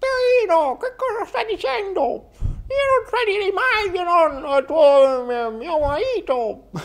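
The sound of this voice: A female-sounding put-on character voice, pitched extremely high for a woman, swings very widely in pitch at a fairly slow pace.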